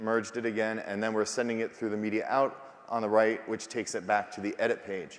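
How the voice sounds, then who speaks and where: Talking at a fairly quick pace, a man keeps to a medium pitch. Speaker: software company representative. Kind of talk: live product demo. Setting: stage with audience. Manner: fast.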